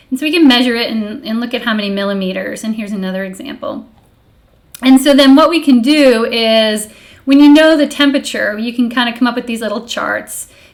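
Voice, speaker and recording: A woman's high-pitched voice at a fairly quick pace, with ordinary pitch variation, big swings in loudness, and audible room echo. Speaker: streamer and college professor. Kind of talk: casual live stream lecture. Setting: live stream. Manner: animated.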